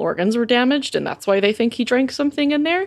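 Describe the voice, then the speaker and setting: A woman speaks with a Southern US accent. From Alabama. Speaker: podcast co-host. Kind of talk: casual chat.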